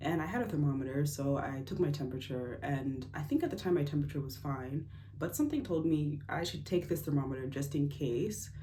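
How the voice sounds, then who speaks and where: A woman with an American accent, a very deep, low pitch and a dark, mellow, somewhat breathy tone, talking at a fairly quick pace with fairly even intonation, plus audible room echo. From United States. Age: 20s. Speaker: engineer sharing health story. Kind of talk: personal testimony vlog. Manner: casual, hesitant with fillers.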